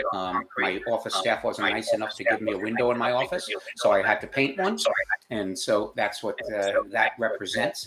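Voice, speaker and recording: Noticeable noise is present in the background. Over it, a man speaks at a moderate pace. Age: 70s. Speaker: business founder and CEO. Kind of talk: interview. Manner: hesitant, many fillers.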